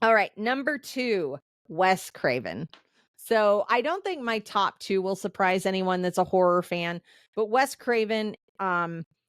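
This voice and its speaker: With an animated tone and lively intonation, a woman speaks at a medium pitch and a fairly slow pace, the recording very clean, silent behind her, and dry and close with no echo. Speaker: podcast host. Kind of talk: casual solo podcast commentary.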